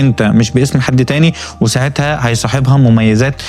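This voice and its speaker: A man talks at a medium pitch and a moderate pace. Background noise is noticeable. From Egypt. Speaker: programmer vlogger. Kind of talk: vlog walkthrough. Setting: inside a bookstore. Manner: animated; frequent fillers and restarts.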